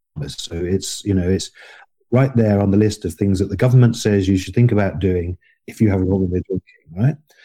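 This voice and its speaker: At a fairly quick pace, a man with a southern English accent speaks in a dark, mellow, somewhat breathy voice, fairly low in pitch with ordinary pitch variation. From England. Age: 50s. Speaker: podcast guest. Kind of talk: interview. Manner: halting.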